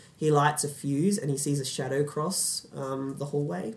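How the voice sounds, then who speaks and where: The pace is moderate. The voice sounds somewhat breathy. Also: man. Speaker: podcast host. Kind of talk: casual film podcast discussion.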